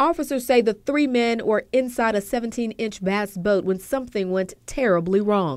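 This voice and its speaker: A normal speaking voice at a moderate pace, with lively intonation and hardly any pauses. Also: woman, fairly high pitch for a woman. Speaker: TV news reporter. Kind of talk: TV news reporter package, broadcast delivery.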